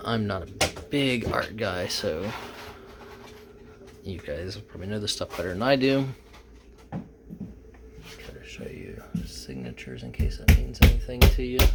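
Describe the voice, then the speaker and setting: With an American accent, a fairly low-voiced man speaks at a fairly slow pace over noticeable background noise, with long, frequent pauses, very wide pitch swings and big swings in loudness. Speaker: reseller and auction-preview vlogger. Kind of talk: casual talk to camera.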